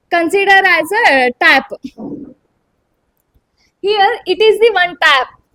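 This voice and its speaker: Raised and projected, a woman's extremely high voice moves at a very slow pace with lively intonation and long, frequent pauses. Her loudness stays very even. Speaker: spoken English student. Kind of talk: practice speech on stage. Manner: hesitant, many fillers.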